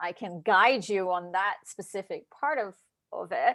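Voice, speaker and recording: A woman with an American accent at a fairly slow pace, with lively intonation. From Brazil. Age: 30s. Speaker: dietitian and hypnotherapist. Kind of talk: interview.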